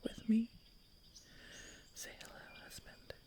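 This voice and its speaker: A soft-spoken woman with a somewhat breathy voice and a dark, mellow tone. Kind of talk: soft-spoken ASMR podcast chat.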